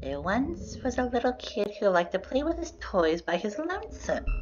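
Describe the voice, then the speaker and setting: A female-sounding voice speaks at a moderate pace in a put-on character voice. Background noise is clear. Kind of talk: storytelling. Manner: obnoxious, silly.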